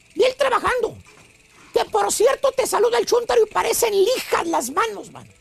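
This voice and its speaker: Moderate pace against noticeable background noise. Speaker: comedian. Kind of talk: joke telling. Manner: animated.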